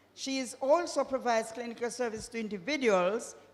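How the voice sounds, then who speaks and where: A woman talks at a moderate pace. The room gives an audible echo. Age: 70s. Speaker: church member introducing speaker. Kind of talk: church program introduction. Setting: church.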